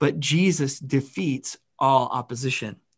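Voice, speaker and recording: The voice belongs to a man and is somewhat breathy. His pitch varies in an ordinary way. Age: 30s. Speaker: pastor. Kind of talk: sermon. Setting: church.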